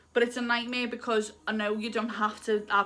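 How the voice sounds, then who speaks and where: A woman speaks in a Liverpool accent. Her pace is fairly quick. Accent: Liverpool (Scouse). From Liverpool, England. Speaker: lifestyle YouTuber. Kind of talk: casual advice vlog. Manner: animated.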